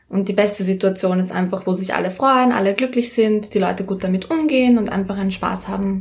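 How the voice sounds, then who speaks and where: With a plain, everyday voice, a woman talks at a medium pitch and a fairly quick pace. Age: young. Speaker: rapper and pole dancer. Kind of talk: interview. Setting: in her flat, home studio.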